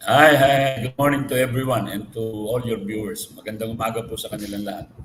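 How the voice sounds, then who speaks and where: A very fast delivery, fairly even in intonation, amid noticeable background noise. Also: man, medium pitch for a man, big swings in loudness. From Philippines, Pasig. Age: 70s. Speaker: basketball team manager. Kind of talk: interview, Taglish.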